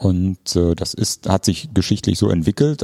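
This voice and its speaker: A man speaks with a very deep, low pitch and a dark, mellow tone at a moderate pace. The sound is dry and close with no echo. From Ruhr area, Germany. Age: 50s. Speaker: park director, landscape architect. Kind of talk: interview.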